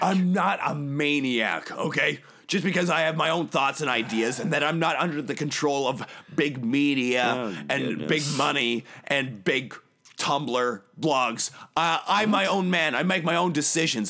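This man's fairly high voice moves at a fairly slow pace with ordinary pitch variation and very even loudness. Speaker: podcast guest claiming the host role. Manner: abrasive, combative, blustery.

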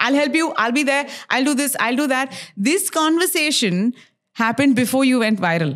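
With lively intonation, a woman speaks at a high pitch and very even loudness. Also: moderate pace. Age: 30s. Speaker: radio host and podcaster. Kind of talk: casual chat. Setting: her home.

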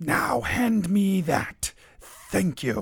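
This is a put-on character voice that sounds female. It sits at a medium pitch for a woman.

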